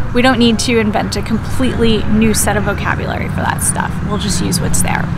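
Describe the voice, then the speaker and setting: A woman with an American accent speaks amid noticeable background noise and audible room echo. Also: fairly quick pace. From United States. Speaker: English teacher. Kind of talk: educational explainer. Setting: outdoors in a park. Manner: casual, conversational.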